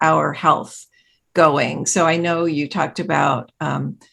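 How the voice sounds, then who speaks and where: Against a quiet background, a woman with vocal fry talks at a fairly low pitch and a fairly slow pace. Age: 70s. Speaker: podcast host. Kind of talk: interview.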